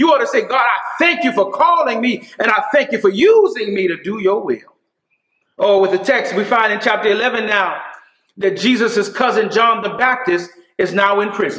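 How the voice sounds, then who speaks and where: In a quiet background with audible room echo, a man talks at a moderate pace. His pitch is high, with ordinary pitch variation. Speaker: preacher. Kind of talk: sermon. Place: church.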